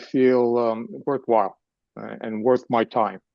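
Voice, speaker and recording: A man with a New York accent. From New York City. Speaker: retired finance executive. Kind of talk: live interview.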